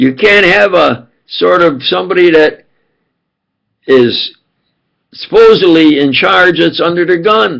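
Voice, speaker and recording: This man has a high pitch and a New York accent, with lively intonation and very even loudness. He speaks at a fairly slow pace with long, frequent pauses. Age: old. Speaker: self-styled preacher and commentator. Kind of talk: rambling monologue to camera. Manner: halting, many fillers and restarts.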